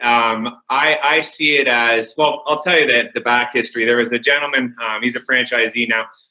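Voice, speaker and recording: The speaker is a man with a Canadian accent and a medium pitch. His tone is bright and sharp. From Windsor, Ontario, Canada. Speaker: window cleaning business owner. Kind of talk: interview. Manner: loud; hesitant, many fillers.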